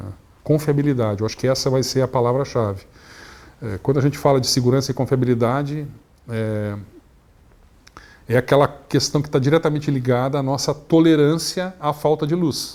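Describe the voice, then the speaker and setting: Dark, mellow tone from a man at medium pitch, moderate pace and ordinary pitch variation. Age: 60s. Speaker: energy industry executive. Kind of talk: interview. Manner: halting, many fillers.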